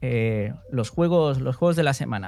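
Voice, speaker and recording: This man has an unremarkable speaking voice at a medium pitch, with ordinary pitch variation. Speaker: podcast host. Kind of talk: casual chat; scripted intro.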